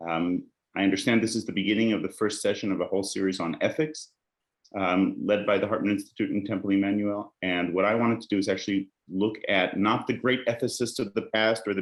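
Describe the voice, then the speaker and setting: A man speaks very fast in an American accent, his pitch fairly low and his intonation fairly even. The background is quiet. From Israel, Jerusalem. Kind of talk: lecture.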